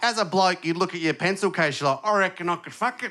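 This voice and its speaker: Amid noticeable background noise, a man with an Australian accent uses a raised, projected voice at a high pitch. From Australia, Adelaide. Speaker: stand-up comedian. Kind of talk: stand-up. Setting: stage with audience.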